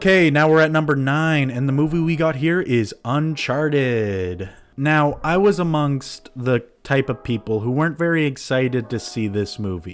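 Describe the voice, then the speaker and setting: In an ordinary speaking voice, a man talks at a fairly high pitch with lively intonation on a very clean recording with a silent background. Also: moderate pace. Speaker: movie list youtuber. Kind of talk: casual video commentary.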